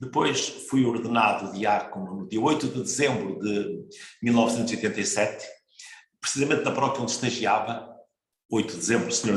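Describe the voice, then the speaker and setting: Audible room echo around a man's speech, its pitch varying in an ordinary way. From northern Portugal, Marco de Canaveses. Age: 60s. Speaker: priest. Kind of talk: interview. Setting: broadcast program.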